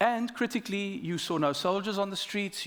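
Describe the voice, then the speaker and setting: Speaking fairly quickly with a South African accent, a man uses lively intonation. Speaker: government minister. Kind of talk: panel discussion.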